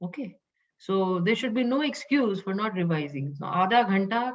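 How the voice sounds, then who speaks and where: A woman speaks fairly slowly at a medium pitch. Her voice is somewhat breathy, and her intonation is lively. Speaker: Upanishad teacher. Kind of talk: lecture.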